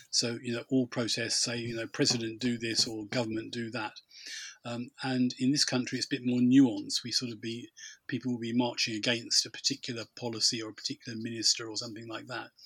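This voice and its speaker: A man with a British accent talks at a very fast pace. His intonation stays monotone and flat. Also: medium pitch for a man. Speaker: podcast host. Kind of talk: casual chat.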